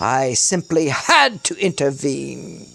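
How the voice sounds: In a put-on character voice with a British accent, a woman speaks slowly at an extremely low pitch, with vocal fry, big pitch swings and a fairly bright tone. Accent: exaggerated put-on British.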